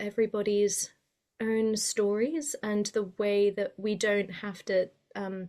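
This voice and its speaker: With a British accent and a dark, mellow tone, a woman speaks at a fairly slow pace in a very clean recording with a silent background. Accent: sounds very British. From Spain. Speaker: mythologist and writer. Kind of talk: podcast interview. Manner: hesitant with many fillers.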